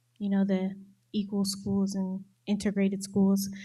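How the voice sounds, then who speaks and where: Somewhat breathy speech comes at a moderate pace, with an American accent. The recording is very clean, with a silent background. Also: woman. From Texas, Houston. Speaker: student. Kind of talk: audience question.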